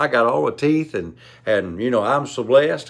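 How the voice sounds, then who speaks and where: Southern US accent from a man, on a very clean recording against a silent background. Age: 70s. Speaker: preacher. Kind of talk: sermon.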